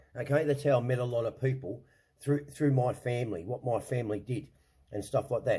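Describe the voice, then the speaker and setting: Somewhat breathy and dark, mellow in tone, a man talks with an Australian accent. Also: very clean recording, silent background. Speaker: online show host. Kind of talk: casual rant. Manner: animated, swearing, repetitive stammering.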